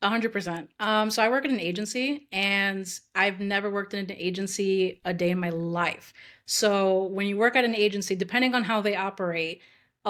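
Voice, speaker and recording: A woman at a medium pitch talks at a fairly quick pace with ordinary pitch variation, on a very clean recording with a silent background. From New York. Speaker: UX designer, former actress. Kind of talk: podcast interview. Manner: fast.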